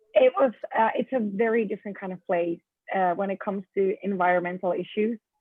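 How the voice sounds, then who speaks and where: This woman has a Finnish accent. She speaks at a medium pitch and a fairly quick pace. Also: fairly even intonation. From Finland. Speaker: event planner, business owner. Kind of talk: interview. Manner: hesitant, many fillers.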